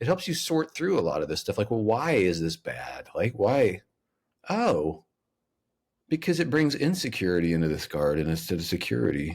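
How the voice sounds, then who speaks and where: Vocal fry runs through speech at a moderate pace with very wide pitch swings. The recording is very clean with a silent background. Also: man, medium pitch for a man. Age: 50s. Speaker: author and speaker. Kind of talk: podcast interview. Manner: lawyerly tone.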